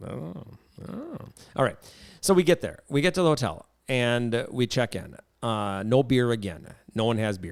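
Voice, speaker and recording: A man speaks at a moderate pace and a medium pitch, leaving long, frequent pauses as his pitch swings very widely. The recording is very clean, with a silent background. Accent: Wisconsin. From Wisconsin, US Midwest. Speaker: podcast host. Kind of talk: casual chat. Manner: animated.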